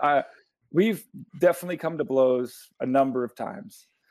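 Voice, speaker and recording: A man's moderate-paced speech shows ordinary pitch variation. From Newfoundland, Canada (St. John's). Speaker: rock guitarist. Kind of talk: interview.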